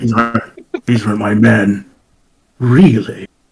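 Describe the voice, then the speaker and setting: A put-on character voice, raspy, delivers the words at a very slow pace. Its intonation stays fairly even. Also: man, medium pitch for a man. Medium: actual play. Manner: blunt, gruff.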